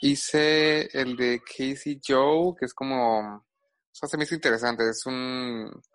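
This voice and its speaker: A man talks at a fairly slow pace with a medium pitch and fairly even intonation. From Guadalajara, Mexico. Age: 20s. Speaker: social media gossip creator. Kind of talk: casual chat. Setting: remote from Puerto Vallarta.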